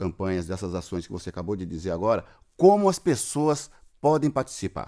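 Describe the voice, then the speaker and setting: Against a quiet background, a man with an unremarkable speaking voice and fairly low pitch talks at a moderate pace with lively intonation. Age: 50s. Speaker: podcast host. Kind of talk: casual interview. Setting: remote call. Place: studio.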